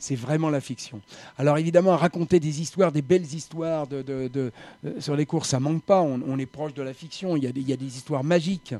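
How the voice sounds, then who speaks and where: A man talks at a fairly quick pace in a fairly high pitch with a dark, mellow tone. His intonation stays fairly even. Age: 70s. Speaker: retired journalist and novelist. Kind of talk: panel discussion. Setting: café studio. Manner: speaks softly.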